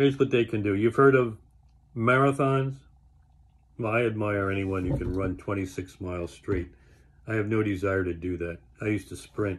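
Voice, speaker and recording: A man talks at a moderate pace with a fairly low pitch and ordinary pitch variation. His voice is somewhat breathy, with long, frequent pauses. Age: 70s. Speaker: health enthusiast vlogger. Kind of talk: casual monologue. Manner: conversational, with fillers.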